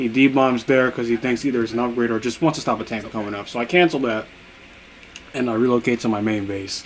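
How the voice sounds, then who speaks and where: Through noticeable background noise, a man at medium pitch speaks at a very fast pace with fairly even intonation. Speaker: gaming youtuber. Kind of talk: gameplay commentary.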